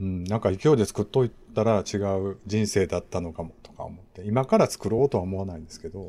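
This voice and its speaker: A man with a dark, mellow tone and fairly low pitch speaks at a fairly quick pace with hardly any pauses. His loudness swings widely while his pitch varies in an ordinary way. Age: 40s. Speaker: podcast host. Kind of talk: casual chat.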